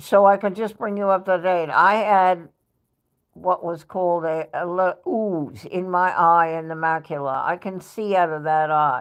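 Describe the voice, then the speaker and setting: In a New York accent, a woman speaks at a fairly slow pace with a fairly low pitch and ordinary pitch variation against a quiet background. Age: 70s. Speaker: live streamer. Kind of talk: casual chat.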